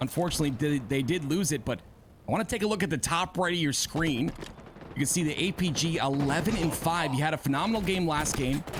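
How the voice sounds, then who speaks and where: With noticeable background noise behind him, a man speaks very fast at a fairly high pitch, with ordinary pitch variation and very even loudness. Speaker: esports caster. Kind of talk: live commentary.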